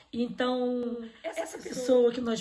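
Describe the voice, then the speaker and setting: A high-pitched female voice comes through over noticeable background noise. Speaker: event host. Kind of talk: online religious event hosting. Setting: online live stream.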